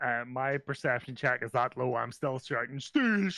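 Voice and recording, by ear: The intonation here is lively. It is reading aloud in a natural voice.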